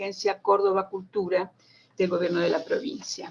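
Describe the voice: A woman's voice with vocal fry and a slightly husky edge, at a moderate pace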